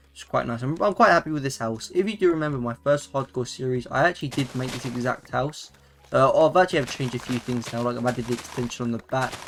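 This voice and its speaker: A man's medium-pitched voice with a British accent, a very fast pace, ordinary pitch variation, and noticeable background noise. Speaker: gaming YouTuber. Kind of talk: gameplay commentary. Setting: at home while others sleep. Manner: quieter than usual; casual, hesitant with fillers.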